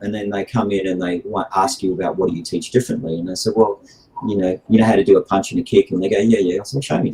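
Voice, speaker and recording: A man's fairly low voice in an Australian accent, very fast, with fairly even intonation. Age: 60s. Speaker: martial arts instructor. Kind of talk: podcast interview. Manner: hesitant, many fillers.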